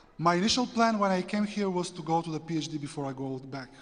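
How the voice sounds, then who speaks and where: This man's high-pitched voice moves at a very fast pace with ordinary pitch variation, against noticeable background noise. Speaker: theology student. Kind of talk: testimony.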